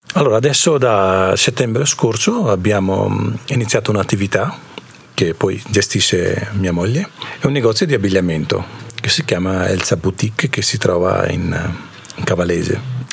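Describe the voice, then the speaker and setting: A man's fairly low voice with lively intonation at a moderate pace, against noticeable background noise. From India. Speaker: shop owner, immigrant. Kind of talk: radio interview.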